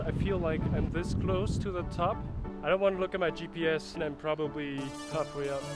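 A man at a moderate pace, dry sound with no echo, loud music in the background. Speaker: bikepacking vlogger. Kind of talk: casual vlog chat. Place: forest. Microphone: phone near.

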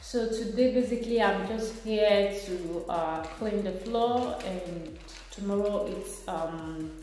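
In a room with audible echo, a woman speaks slowly at a medium pitch with ordinary pitch variation.

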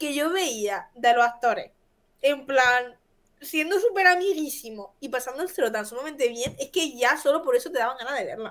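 A woman's high, bright, sharp voice, animated and lively in intonation, with big swings in loudness. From Jaén, Andalusia; Andalusia. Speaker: co-host. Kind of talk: casual chat. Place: home room.

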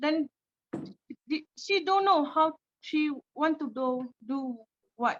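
Very slowly and with long, frequent pauses, a woman with a non-native accent speaks at a high pitch with ordinary pitch variation, in a dry, close sound with no echo. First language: not English. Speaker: refugee community leader. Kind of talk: panel Q&A answer. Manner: halting.

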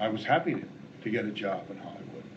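Noticeable noise can be heard behind a man as he speaks. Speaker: interviewee. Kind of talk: interview answer. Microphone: old recording.

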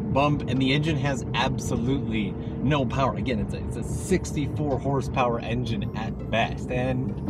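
Music plays in the background as a man talks at a moderate pace with hardly any pauses, the sound dry with no echo. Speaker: travel vlogger. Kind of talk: casual vlog chat. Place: car. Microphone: phone near.

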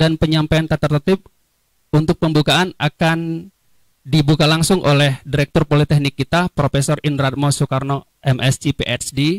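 The background is quiet as a man speaks at a fairly slow pace. The sound is dry with no echo. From Indonesia. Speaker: webinar moderator. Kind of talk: formal event moderating. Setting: video call. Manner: formal. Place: studio. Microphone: handheld.

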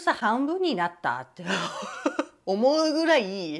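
A woman speaks with vocal fry. Her pitch swings very widely. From Japan. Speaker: YouTuber; lifestyle vlogger. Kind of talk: casual vlog monologue. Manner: animated, frequent laughter. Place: home room. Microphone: lapel.

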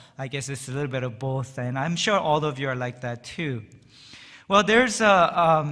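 With a bright, sharp tone, a man talks over a quiet background. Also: moderate pace. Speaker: pastor. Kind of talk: sermon. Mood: warm, light-hearted. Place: church. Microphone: podium.

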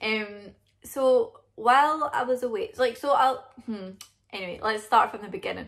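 With a Scottish accent, a woman speaks high in pitch with lively intonation at a moderate pace. The background is quiet. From Scotland. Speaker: vlogger. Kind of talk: casual talk to camera. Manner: rambling. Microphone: phone near.

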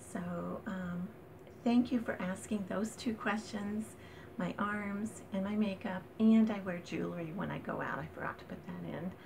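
Noticeable background noise sits under the recording. A woman speaks at a moderate pace with ordinary pitch variation. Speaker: vlogger. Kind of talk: casual vlog chat. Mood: warm and friendly. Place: home room. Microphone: phone near.

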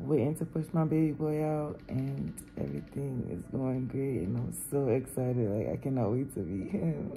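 A woman speaks at a very deep, low pitch, with hardly any pauses. Faint music plays in the background. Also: moderate pace. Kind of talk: casual vlog chat. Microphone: phone near.

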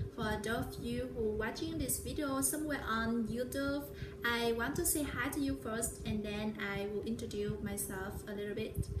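A woman speaks in a Vietnamese accent at a moderate pace. There is noticeable background noise. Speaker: vlogger. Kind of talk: vlog monologue. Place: home room. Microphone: phone near.

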